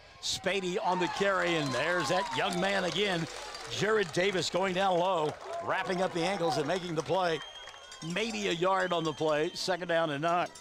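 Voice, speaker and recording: A high-pitched man in an American accent at a moderate pace, with very even loudness and crowd noise in the background. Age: 60s. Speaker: play-by-play sports announcer. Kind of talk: live commentary. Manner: animated.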